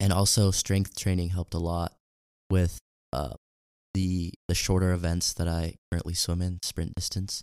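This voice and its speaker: On a very clean recording with a silent background and a dry, close sound with no echo, a man talks at a moderate pace in a very deep, low voice with monotone, flat intonation. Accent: American. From Utah. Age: young. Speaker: college swimmer. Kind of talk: interview. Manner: halting, many fillers.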